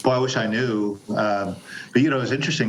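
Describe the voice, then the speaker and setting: Over noticeable background noise, a man with a fairly low pitch speaks at a moderate pace. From Panama. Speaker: actor and narrator. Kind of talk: interview answer.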